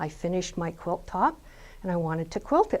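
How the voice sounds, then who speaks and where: Someone with a Canadian accent talks at a fairly quick pace. It is an ordinary speaking voice. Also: woman. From Canada, Ontario. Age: 60s. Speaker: quilter. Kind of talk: personal testimony.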